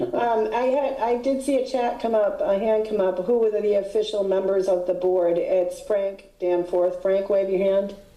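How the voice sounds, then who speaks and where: A woman speaks at a medium pitch and a moderate pace, with ordinary pitch variation, very even loudness and hardly any pauses. Audible room echo and noticeable background noise fill the recording. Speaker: HOA board president chairing meeting. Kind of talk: board meeting.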